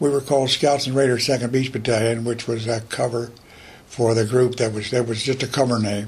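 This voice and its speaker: A man with a coastal North Carolina accent speaks at a fairly quick pace in a medium pitch, his voice somewhat breathy and his intonation monotone and flat. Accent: US Southern, coastal North Carolina. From North Carolina coast, Morehead City. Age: 80s+. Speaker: war veteran. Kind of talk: interview testimony.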